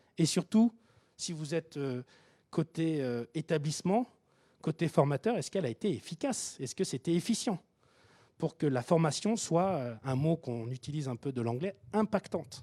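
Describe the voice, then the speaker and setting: A man with a Japanese accent and a dark, mellow tone, fairly high in pitch, at a moderate pace, with lively intonation and big swings in loudness, in a dry, close sound with no echo. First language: Japanese (speaking French). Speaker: tech company founder presenting at a workshop. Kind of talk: conference presentation. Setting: hybrid event, live audience and online. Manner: hesitant, many repetitions.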